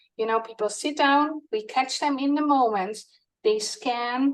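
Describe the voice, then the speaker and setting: With a Dutch accent, a woman talks at a fairly slow pace in a fairly high voice with lively intonation. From Netherlands. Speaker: product co-founder presenting. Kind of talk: product demo.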